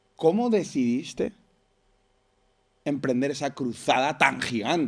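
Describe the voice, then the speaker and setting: Speaking at a very slow pace, a man with a fairly high pitch uses lively intonation. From Venezuela. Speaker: podcast host. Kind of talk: podcast interview.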